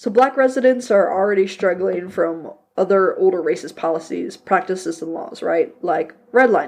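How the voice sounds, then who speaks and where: Lively intonation with hardly any pauses. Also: woman, medium pitch for a woman. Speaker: history podcast host. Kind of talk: casual educational podcast narration. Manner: fast; casual, conversational.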